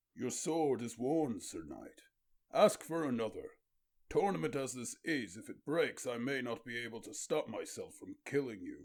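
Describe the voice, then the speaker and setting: A man puts on a character voice. It is fairly high-pitched and moves at a moderate pace. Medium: read story. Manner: formal, forceful.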